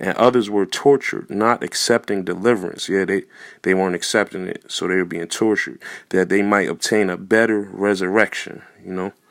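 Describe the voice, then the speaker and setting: A man's fairly low voice, with fairly even intonation, is captured on a very clean recording with a silent background. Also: fairly quick pace. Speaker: religious teacher. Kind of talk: bible teaching.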